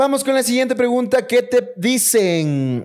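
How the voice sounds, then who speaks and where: A man talks fairly slowly, his pitch swinging very widely, with a quiet background. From Ecuador. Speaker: podcast host. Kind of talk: casual chat. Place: home room. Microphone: studio mic.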